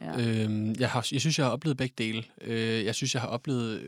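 A plain, everyday voice belongs to a man speaking at a moderate pace with a medium pitch and fairly even intonation. The recording is very clean and dry, close with no echo, and the background is silent. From Denmark, Odense. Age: 20s. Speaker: nursing care student. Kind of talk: casual chat.

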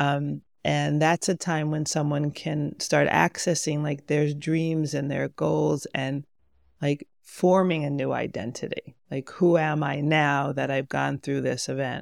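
Speech comes at a fairly slow pace in a dry, close sound with no echo. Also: woman. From New York (Rockland County). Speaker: somatic healer and marriage coach. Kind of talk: personal testimony interview.

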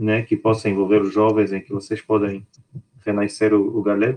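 A man with a Luanda accent, fairly low-pitched, at a moderate pace. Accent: Angolan Portuguese (Luanda). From Angola. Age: 30s. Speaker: podcast co-host. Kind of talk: casual discussion.

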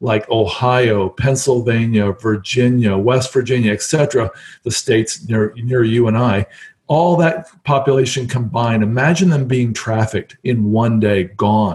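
A man with an American accent speaks at a moderate pace in a somewhat breathy, medium-pitched voice. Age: 50s. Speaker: real estate investor. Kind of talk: interview.

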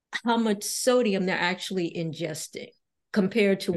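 A woman speaks in a plain, everyday voice of medium pitch with ordinary pitch variation. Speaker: physician and health podcast host. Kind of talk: interview.

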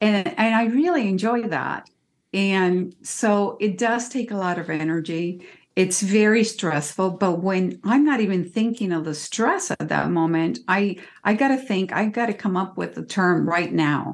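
A woman with an American accent has a plain, everyday voice at a medium pitch. She talks at a fairly slow pace with ordinary pitch variation. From Cuba, raised partly in California. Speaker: court interpreter and dialect coach. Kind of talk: interview.

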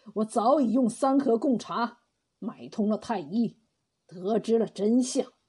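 An unforced reading voice over a quiet background

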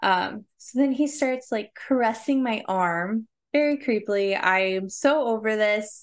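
A woman with a plain, everyday voice, a fairly high pitch and ordinary pitch variation, at a fairly slow pace with hardly any pauses, over a quiet background. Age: 30s. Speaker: podcast co-host. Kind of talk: personal storytelling. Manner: frequent fillers and laughs.

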